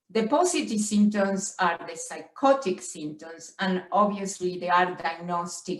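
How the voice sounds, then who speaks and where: Over noticeable background noise, a woman with a strong Spanish accent speaks at a fairly slow pace with ordinary pitch variation. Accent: heavy Spanish. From Argentina. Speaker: professor. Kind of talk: lecture. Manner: halting, with frequent stutters and fillers.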